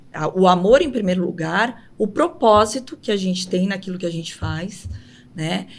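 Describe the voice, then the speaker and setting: At a fairly slow pace, a woman speaks in a medium pitch with ordinary pitch variation. Music plays in the background. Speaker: city councillor. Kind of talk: interview.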